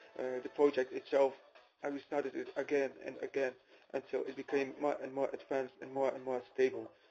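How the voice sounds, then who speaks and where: Big swings in loudness from a man talking at a fairly quick pace. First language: not English. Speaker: programmer. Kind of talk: personal testimony. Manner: hesitant with many fillers.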